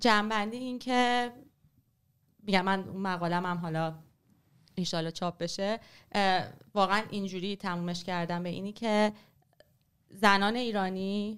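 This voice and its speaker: Delivered at a moderate pace, the speech has fairly even intonation and long, frequent pauses. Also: woman, medium pitch for a woman, very clean recording, silent background. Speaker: writer and former journalist. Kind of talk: casual interview on history.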